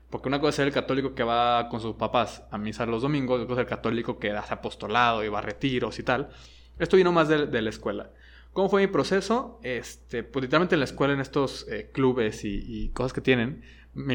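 Delivered at a very fast pace in a Mexican accent, the voice has vocal fry and ordinary pitch variation over a quiet background. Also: man, medium pitch for a man. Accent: Mexican Spanish (Jalisco). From Mexico, Guadalajara. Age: 30s. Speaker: high school teacher and podcast co-member. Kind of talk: casual interview. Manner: halting, many fillers and repetitions.

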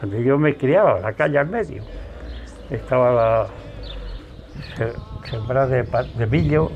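A man speaks over noticeable background noise. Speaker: elderly interviewee, war witness.

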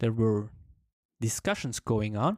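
A man with a Swiss German accent, in a dry, close recording without echo. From German-speaking Switzerland. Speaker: language learner sharing story. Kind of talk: personal storytelling monologue. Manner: halting, repeats words.

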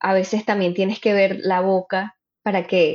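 Her pace is fairly slow. The woman's pitch is medium. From Venezuelan family, raised in Miami. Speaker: actress and comedian. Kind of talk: interview conversation. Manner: animated.

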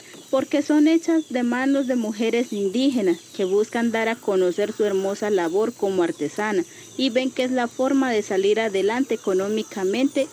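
There is noticeable background noise as a woman talks at a moderate pace. Her fairly high voice carries lively intonation. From Colombian Amazon, Leticia. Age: young. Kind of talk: scripted promotional presentation.

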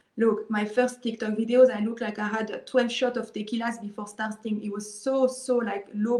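A woman's somewhat breathy, dark and mellow voice in a monotone, flat intonation, at a moderate pace with hardly any pauses. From Israel. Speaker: online marketer. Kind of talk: interview. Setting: video call. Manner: halting.

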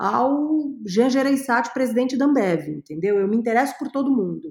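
Speaking at a fairly quick pace, a woman has a dark, mellow tone and ordinary pitch variation. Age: 40s. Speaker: creativity and innovation consultant. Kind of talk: interview.

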